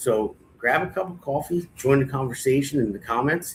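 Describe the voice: A man's medium-pitched, fairly bright voice with a slightly husky edge and ordinary pitch variation.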